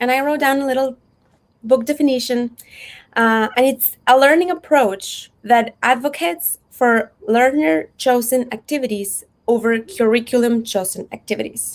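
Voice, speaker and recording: Speaking in a Spanish accent at a moderate pace, a woman has a high voice with ordinary pitch variation. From Mexico. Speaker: unschooling advocate and photographer. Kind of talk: workshop talk. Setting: virtual event.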